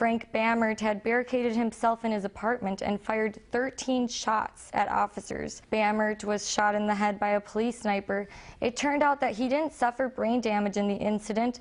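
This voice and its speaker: A woman with a normal speaking voice, fairly high in pitch, talks at a moderate pace with hardly any pauses, very even loudness and fairly even intonation. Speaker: news anchor, recent journalism graduate. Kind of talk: television news anchor delivery. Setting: television studio news set.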